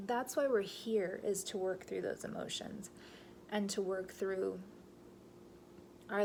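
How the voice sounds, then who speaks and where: A woman speaks with audible room echo. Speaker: medium. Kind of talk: casual vlog monologue.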